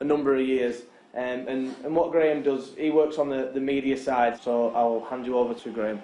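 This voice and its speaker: A man's medium-pitched voice in a Lancashire accent, fairly quick and monotone with flat intonation, plus audible room echo. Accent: Lancashire (Wigan) English. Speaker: professional rugby league player. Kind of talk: guided tour for school pupils. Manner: hesitant, many repeated words.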